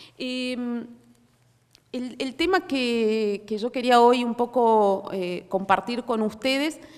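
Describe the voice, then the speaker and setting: The speaker talks at a very slow pace in a Córdoba accent, with ordinary pitch variation. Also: woman. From Córdoba, Argentina. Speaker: policy researcher. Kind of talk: conference talk. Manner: hesitant, many fillers.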